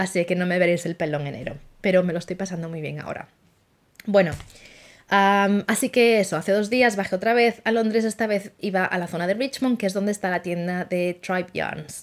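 With ordinary pitch variation and a fairly quick pace, a woman talks over a quiet background. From Spain, Asturias. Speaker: knitting podcaster. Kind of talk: casual monologue. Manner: fast; animated. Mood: cheerful, chatty. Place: home room. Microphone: phone near.

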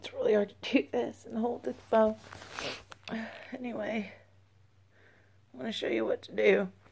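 Over noticeable background noise, a woman talks at a moderate pace, her loudness swinging widely, with long pauses coming often. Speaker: beekeeper. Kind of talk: casual talk to camera.

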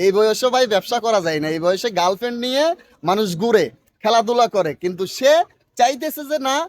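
A man with a high voice talks with lively intonation. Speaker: vlogger. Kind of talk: on-location interview vlog.

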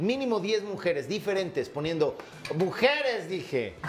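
A man speaks at a slow pace, his pitch high for a man and moving in big swings. Faint background noise sits behind him.

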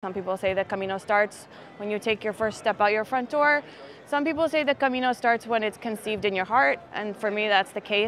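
Amid light background noise, a woman with a Philadelphia accent speaks at a fairly high pitch and fairly quick pace in a dry sound with no echo. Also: ordinary pitch variation. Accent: American, Philadelphia area. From US Northeast. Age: 40s. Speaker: pilgrim. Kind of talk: interview. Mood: reflective, warm. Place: street. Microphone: lapel.

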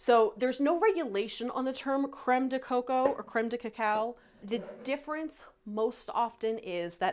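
A high-pitched woman, talking at a moderate pace. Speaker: recipe host. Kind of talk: tutorial. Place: kitchen.

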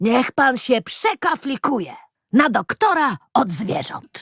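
In a put-on character voice, a woman speaks at a high pitch with very wide pitch swings. Her pace is fairly slow. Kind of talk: rustic colloquial speech. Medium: read story. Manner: folksy, chuckling.

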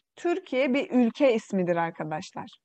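Over a quiet background, a woman with a Xinjiang accent speaks at a fairly high pitch and fairly slow pace in a dark, mellow tone. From East Turkistan (Xinjiang), Uyghur. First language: Uyghur (speaking Turkish). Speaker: Turkish language teacher. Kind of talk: online language lesson.

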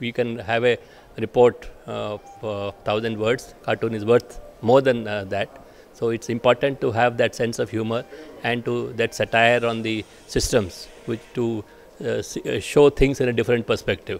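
Flat, monotone intonation from a man at a moderate pace, with faint music in the background. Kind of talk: interview answer. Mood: pleased, polite. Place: hall. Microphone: handheld.

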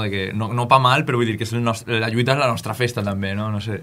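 A man talks in a monotone, flat intonation. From Valencian Country, Benifalló; Valencian Country. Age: 20s. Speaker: musician. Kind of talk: radio interview. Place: studio.

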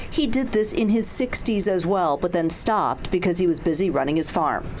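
The intonation is lively and the pace moderate. Noticeable background noise runs underneath. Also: woman. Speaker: TV news reporter. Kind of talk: TV news report.

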